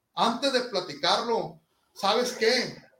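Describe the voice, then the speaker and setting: A raised, projected voice with ordinary pitch variation moves at a fairly slow pace amid audible room echo. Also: man. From Sinaloa, Mexico. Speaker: marching band instructor. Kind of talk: interview.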